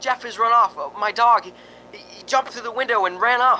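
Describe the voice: A man puts on a character voice with extremely high pitch, a bright, sharp tone, ordinary pitch variation and a fairly quick pace.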